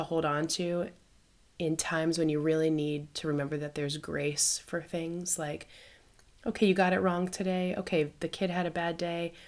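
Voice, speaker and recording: The woman has a normal speaking voice, fairly low in pitch, at a moderate pace. Her recording is very clean, with a silent background. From United States. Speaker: missionary podcast host. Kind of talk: casual conversation. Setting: recording while traveling in Ireland.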